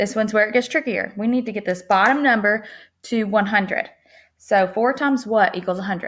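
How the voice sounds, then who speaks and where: Her pitch fairly high, a woman talks with ordinary pitch variation. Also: very clean recording, silent background. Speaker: teacher. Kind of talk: tutorial. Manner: fast.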